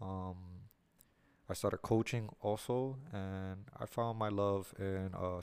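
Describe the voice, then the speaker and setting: In a very clean recording with a silent background, a man with a New York accent speaks at a very deep, low pitch with fairly even intonation. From New York City, Lower East Side. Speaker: podcast host and boxing coach. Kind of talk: casual podcast intro monologue. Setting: studio. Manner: hesitant, many fillers.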